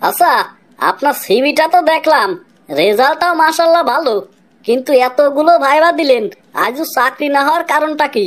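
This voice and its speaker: A woman uses a cartoonish character voice pitched high. She talks at a moderate pace. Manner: dry, sarcastic.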